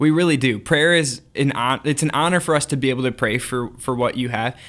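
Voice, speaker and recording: On a very clean recording with a silent background, a man with a fairly high pitch speaks at a fairly quick pace in a normal speaking voice, with ordinary pitch variation. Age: 20s. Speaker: podcast co-host. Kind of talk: casual chat.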